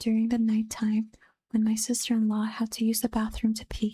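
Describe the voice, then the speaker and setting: The speaker is soft-spoken. The pace is moderate. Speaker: vtuber and streamer. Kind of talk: reading reddit horror stories aloud.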